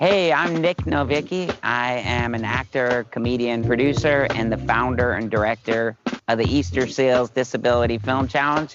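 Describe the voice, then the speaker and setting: Music plays in the background as a man talks at a moderate pace and medium pitch, with ordinary pitch variation and hardly any pauses. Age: 40s. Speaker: actor and comedian, event founder. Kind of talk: promotional video.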